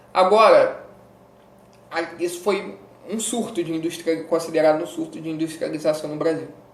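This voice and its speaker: Amid noticeable background noise and audible room echo, a man with a high pitch and ordinary pitch variation speaks at a moderate pace with long, frequent pauses. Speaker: educational youtuber teaching history. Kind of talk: casual exam-prep lecture. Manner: animated.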